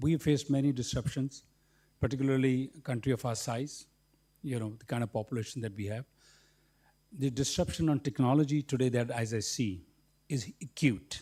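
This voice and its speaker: A man with a medium-pitched, dark, mellow and somewhat breathy voice talks at a fairly quick pace with long, frequent pauses, on a very clean recording with a silent background. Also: ordinary pitch variation. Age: 60s. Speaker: businessman. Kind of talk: panel discussion.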